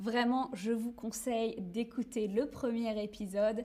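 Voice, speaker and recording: A woman is speaking. Her pitch sits fairly high. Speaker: French teacher and streamer. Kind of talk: live stream for language learners. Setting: live stream with chat. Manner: slow and clear, repeats phrases.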